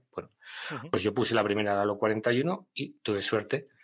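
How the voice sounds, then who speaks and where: This man has a normal speaking voice, fairly low in pitch, with ordinary pitch variation. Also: very clean recording, silent background. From Castile, northern Spain (Miranda de Ebro). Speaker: army veteran. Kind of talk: testimony.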